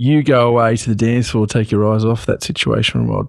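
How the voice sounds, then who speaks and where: A man with an Australian accent speaks at a fairly quick pace with a medium pitch. The sound is dry and close, with no echo. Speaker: podcast host. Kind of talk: interview.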